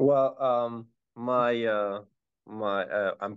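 Speaking in a plain, everyday voice, a man keeps his pitch in the medium range and his intonation fairly even. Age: 20s. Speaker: real estate investor. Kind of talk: casual interview.

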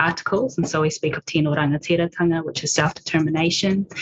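With a New Zealand accent, a woman speaks at a fairly quick pace and a fairly low pitch, in a dry, close sound with no echo but with noticeable background noise. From New Zealand, Māori. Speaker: PhD researcher in audiology. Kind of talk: panel discussion. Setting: video call from home.

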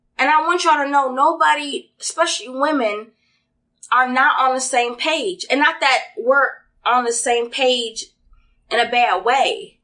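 A woman in a raised, projected voice speaks at a fairly slow pace, her pitch high, her tone bright and sharp, and her loudness very even. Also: lively intonation. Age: 30s. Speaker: podcast guest. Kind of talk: casual chat.

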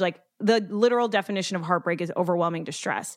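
With an American accent, a woman speaks at a fairly quick pace with ordinary pitch variation, in an unremarkable speaking voice. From Dominican heritage, US. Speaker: former reality TV producer. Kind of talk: casual interview chat. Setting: remote call.

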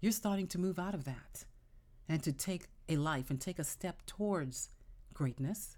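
A dark, mellow tone carries the speech along at a moderate pace. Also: woman. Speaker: podcast host and self-help speaker. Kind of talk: motivational monologue.

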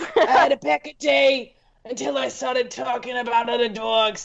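A raspy, female-sounding put-on character voice with a fairly high pitch for a woman moves at a moderate pace.

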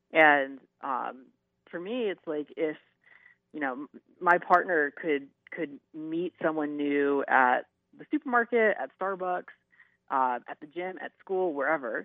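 The speech comes at a fairly slow pace with long, frequent pauses, big swings in loudness and ordinary pitch variation. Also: man, fairly high pitch for a man. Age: 30s. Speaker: YouTuber. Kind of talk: interview. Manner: halting.

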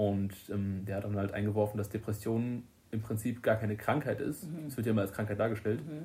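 A man's fairly low, dark and mellow voice, somewhat breathy, at a fairly quick pace with ordinary pitch variation. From Germany, Limburg-Weilburg district, Hesse. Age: 20s. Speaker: electrician. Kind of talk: casual chat. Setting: recorded on a tablet microphone.

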